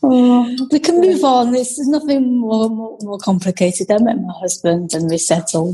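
Over noticeable background noise, a woman's fairly high voice makes very wide pitch swings. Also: moderate pace. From Britain, Chinese family. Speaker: guest, host's sister. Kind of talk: casual chat, interview with sister.

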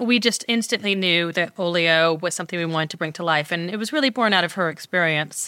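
A woman with an American accent and a fairly low voice speaks very fast in a bright, sharp tone with ordinary pitch variation. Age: 40s. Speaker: entrepreneur. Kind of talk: interview.

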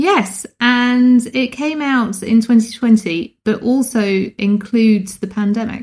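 A fairly high-pitched woman with a British accent, speaking at a very slow pace with ordinary pitch variation. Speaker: podcast host. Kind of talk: casual chat, book review.

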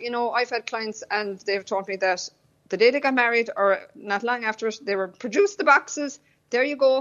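Here a woman speaks with a high pitch. Her pace is fairly quick. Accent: Cork. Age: 40s. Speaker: decluttering consultant. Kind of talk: radio interview.

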